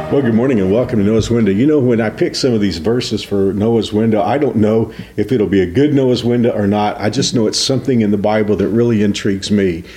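Over noticeable background noise, a man talks at a very fast pace with hardly any pauses, a fairly low pitch, ordinary pitch variation and very even loudness. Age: 60s. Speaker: pastor. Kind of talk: devotional talk.

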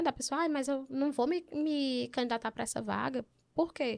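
A woman with a Piauí accent, high in pitch with ordinary pitch variation, at a moderate pace, in a very clean recording with a silent background. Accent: Piauí northeastern Brazilian. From Teresina, Piauí, Brazil. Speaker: journalist, advertising account executive. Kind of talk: casual interview.

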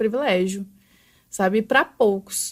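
On a very clean recording with a silent background, a woman with a plain, everyday voice speaks at a fairly slow pace with ordinary pitch variation. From Brazil, São Paulo, later Araguari from age 14. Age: 20s. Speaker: makeup artist and brow specialist. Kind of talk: life story interview. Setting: studio.

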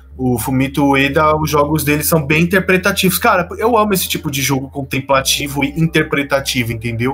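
A man's fairly high voice, fairly quick and with hardly any pauses, lively in intonation, over noticeable background noise. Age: 20s. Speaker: podcast host. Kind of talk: casual chat.

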